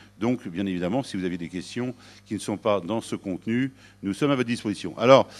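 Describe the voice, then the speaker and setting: With lively intonation and a fairly quick pace, a man talks over a quiet background. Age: 60s. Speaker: sales director at a factoring company. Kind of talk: business presentation. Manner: hesitant, many filler sounds.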